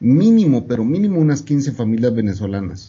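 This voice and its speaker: A man speaks at a fairly quick pace in a plain, everyday voice. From Guatemala. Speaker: podcast guest. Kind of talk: casual chat.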